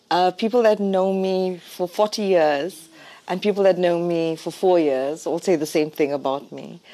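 Her voice dark and mellow, a woman talks at a fairly slow pace in a fairly low pitch with ordinary pitch variation. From South Africa, Durban. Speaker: company director. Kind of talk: casual chat.

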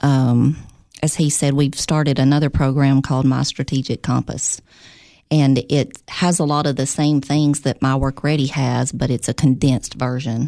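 Very deep and low in pitch, a woman with a Tennessee accent speaks in a dark, mellow tone at a moderate pace. Her intonation is monotone and flat, her loudness very even, and the background quiet. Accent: Southern US (Tennessee). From Tennessee, Clay County. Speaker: operations director. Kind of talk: interview. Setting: studio.

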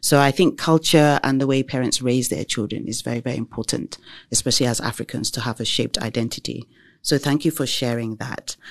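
In a British accent, a man talks at a very fast pace with medium pitch and fairly even intonation. The sound is dry and close with no echo, over a quiet background. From England. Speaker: podcast host. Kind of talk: casual chat.

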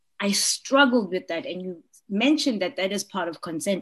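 A woman's lively intonation comes through a somewhat breathy voice. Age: 40s. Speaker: podcast host. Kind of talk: casual interview.

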